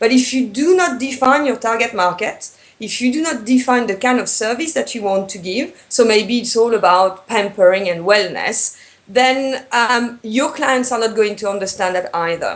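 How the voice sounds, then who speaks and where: At a moderate pace, a woman with a French accent speaks in a fairly high voice whose pitch varies in an ordinary way. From France. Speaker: tourism business consultant. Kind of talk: interview. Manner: hesitant, many fillers.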